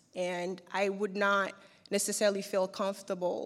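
On a very clean recording with a silent background, a woman talks at a moderate pace in a medium-pitched voice with monotone, flat intonation. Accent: Haitian. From Haiti. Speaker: fashion brand founder. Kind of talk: interview. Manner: hesitant, many fillers.

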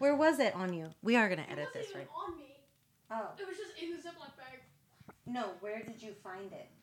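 A woman with a high pitch speaks at a fairly quick pace, her pitch swinging very widely and her loudness shifting a lot, with audible room echo. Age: 40s. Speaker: podcast co-host. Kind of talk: casual chat.

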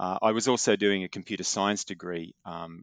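A man with an Australian accent speaks at a moderate pace in a fairly low pitch, with ordinary pitch variation. The sound is dry and close with no echo over a quiet background. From Australia, Newcastle NSW. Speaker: quantum tech company founder and physics professor. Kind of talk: interview.

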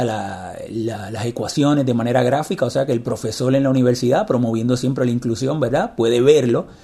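A man's dark, mellow tone comes across somewhat breathy. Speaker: podcast host, blind technology advocate. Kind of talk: interview.

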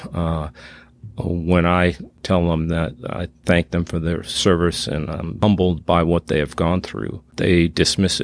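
A man with an American accent speaks at a fairly slow pace in a very deep, low pitch, his intonation monotone and flat. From Massachusetts, south of Boston. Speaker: father of a daughter with addiction, retired oil geologist. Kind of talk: interview testimony. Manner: halting, many fillers.

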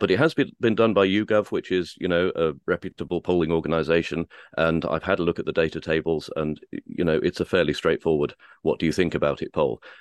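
A man talks at a very fast pace. The sound is dry and close with no echo, over a quiet background.

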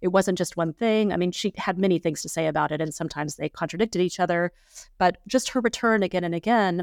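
A woman uses a normal speaking voice with a fairly low pitch and ordinary pitch variation. The recording is very clean and dry, with a close sound, no echo and a silent background. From Texas Panhandle. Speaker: art historian, professor. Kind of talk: interview about her book. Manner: thoughtful, many filler words.

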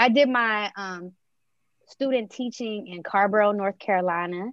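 A woman with an American accent talks at a moderate pace in a plain, everyday voice. Her pitch is medium with ordinary variation, and the background is quiet. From Maryland, US. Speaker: early childhood educator. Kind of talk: interview conversation.

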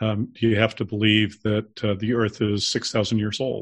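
A man's unremarkable speaking voice at a fairly slow pace, with an American accent. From Salt Lake City, Utah. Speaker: author and church member. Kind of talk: casual interview.

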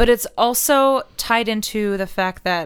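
In a very clean recording with a silent background, a woman speaks with ordinary pitch variation. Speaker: writer, arts fellow. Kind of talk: casual interview.

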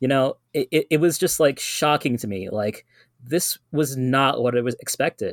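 A man with an American accent speaks in an unremarkable speaking voice at a moderate pace, the sound dry and close with no echo. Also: very clean recording, silent background. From New York City, Guyanese community. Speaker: activist, vigil attendee. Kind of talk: casual chat.

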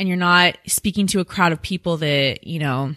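A woman with an American accent has a fairly low pitch and a bright, sharp tone. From Washington State, US. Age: 20s. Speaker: influencer and musician. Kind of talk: interview. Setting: studio. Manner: animated.

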